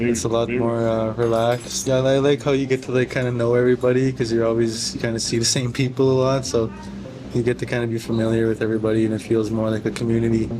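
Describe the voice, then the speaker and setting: Over music in the background, a man speaks at a very fast pace in a medium pitch, monotone and flat, with very even loudness. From northern Alberta, Canada. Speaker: apprentice plumber. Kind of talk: casual interview. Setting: pizza shop.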